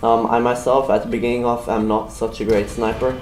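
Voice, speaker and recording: A man at a very fast pace, with noticeable background noise and audible room echo. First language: German. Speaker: gaming YouTuber. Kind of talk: video game weapon review. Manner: halting.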